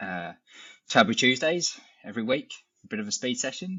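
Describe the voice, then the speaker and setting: A man with an English accent talks at a moderate pace with lively intonation. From England. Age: 30s. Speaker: amateur ultra runner, podcast guest. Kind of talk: casual chat.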